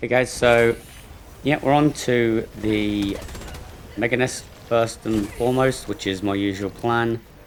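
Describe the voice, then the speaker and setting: A man at a medium pitch, fairly slow and fairly even in intonation, with long, frequent pauses amid noticeable background noise. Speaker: gaming video creator. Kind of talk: gameplay commentary. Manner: hesitant with many fillers.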